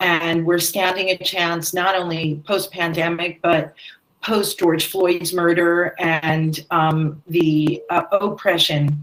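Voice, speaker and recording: A woman talks at a very slow pace. Her voice sits at a fairly low pitch with fairly even intonation. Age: 60s. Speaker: theatre director. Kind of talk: panel discussion.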